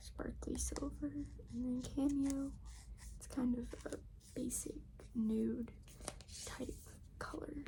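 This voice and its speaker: Through noticeable background noise, a soft-spoken woman talks at a very slow pace with long, frequent pauses. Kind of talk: ASMR makeup bag tour, casual talk to camera.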